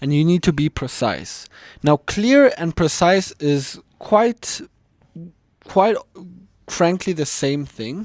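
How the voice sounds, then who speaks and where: In a German accent, a high-pitched man speaks at a very slow pace with lively intonation and long, frequent pauses, in a dry, close sound with no echo. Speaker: communication coach, YouTuber. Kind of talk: tutorial.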